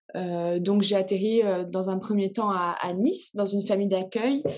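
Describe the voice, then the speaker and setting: Speaking fairly slowly, a woman with a plain, everyday voice holds a medium pitch and fairly even intonation. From Réunion. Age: 20s. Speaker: swimmer. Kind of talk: interview.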